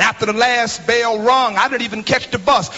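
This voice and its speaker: Music plays in the background as a man speaks. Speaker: pastor. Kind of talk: eulogy at a memorial service, preached like a sermon. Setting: memorial service before a congregation. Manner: rhythmic preacher cadence with refrains like thank you for the interest; repeats words in bursts as he builds momentum. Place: church. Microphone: handheld.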